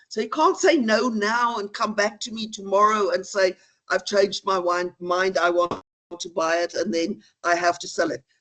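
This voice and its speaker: In a dry, close sound with no echo, a woman with a non-native accent speaks at a moderate pace and a medium pitch. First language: not English. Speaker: law lecturer. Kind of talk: lecture.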